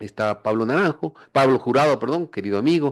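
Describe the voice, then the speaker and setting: The clip has an ordinary speaking voice at a fairly quick pace. The background is quiet. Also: man. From Ecuador, Quito. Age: 60s. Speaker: politician. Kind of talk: radio interview.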